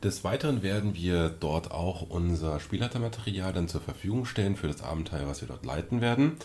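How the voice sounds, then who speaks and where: Hardly pausing, a man talks at a fairly quick pace with a very deep, low pitch, lively intonation and a somewhat breathy quality. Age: 30s. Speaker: podcast co-host, role-playing game master. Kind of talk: casual chat.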